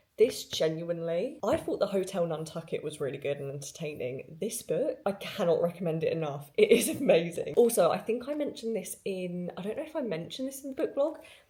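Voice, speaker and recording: With hardly any pauses, a woman speaks in a somewhat breathy, dark, mellow tone at medium pitch, her pitch swinging very widely and her loudness shifting a lot. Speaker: book vlogger. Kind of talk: casual vlog. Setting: outdoors on holiday during a thunderstorm. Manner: fast.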